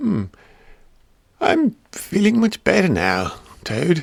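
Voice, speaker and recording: Using a put-on character voice pitched high, a man talks at a very slow pace. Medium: read story.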